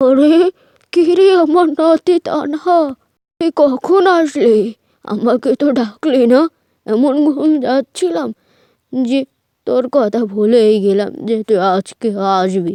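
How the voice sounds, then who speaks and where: A woman uses a cartoonish character voice, high in pitch with very wide pitch swings. She speaks at a fairly slow pace. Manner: gentle, affectionate.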